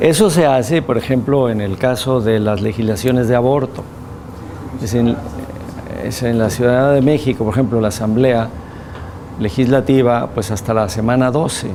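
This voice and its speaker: Medium-pitched male speech at a moderate pace, with ordinary pitch variation, long, frequent pauses, noticeable background noise and audible room echo. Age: 60s. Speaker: physician and bioethics lecturer. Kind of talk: lecture with class discussion.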